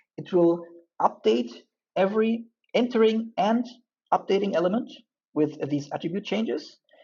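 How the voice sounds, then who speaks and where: A woman speaks with a non-native accent at a moderate pace. Her pitch swings very widely. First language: not English. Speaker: UI engineer and Android developer making coding tutorials. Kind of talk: coding tutorial.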